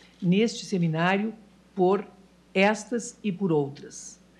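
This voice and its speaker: Very slow, somewhat breathy speech with ordinary pitch variation. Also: woman. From Brazil. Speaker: judge. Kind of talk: formal speech. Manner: formal. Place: hall. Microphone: podium.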